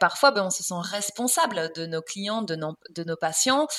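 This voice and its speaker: Here is a plain, everyday voice with lively intonation. The pace is fairly slow. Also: woman. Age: 30s. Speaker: nutrition coach. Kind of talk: casual chat.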